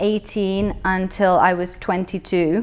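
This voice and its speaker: With a British accent, a woman talks at a fairly slow pace. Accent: British English, expat. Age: 20s. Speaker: business owner. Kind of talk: interview. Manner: casual, hesitant fillers.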